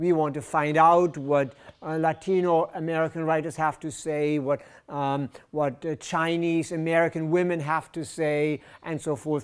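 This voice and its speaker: A fairly high-pitched man at a moderate pace, in a very clean recording with a silent background. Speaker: professor. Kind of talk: lecture. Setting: lecture hall with audience. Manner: animated.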